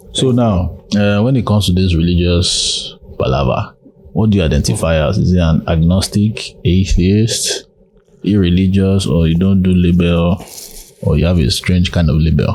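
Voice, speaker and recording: Beneath noticeable background noise, a man speaks in a very deep, low pitch, his loudness very even and his pitch variation ordinary. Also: moderate pace. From Nigeria. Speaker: podcast host. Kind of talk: casual interview chat; podcast intro.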